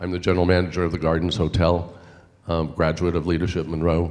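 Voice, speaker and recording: A man talks at a very fast pace with vocal fry and a very deep, low pitch. Room echo is audible around him. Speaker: hotel general manager. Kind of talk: panel self-introduction.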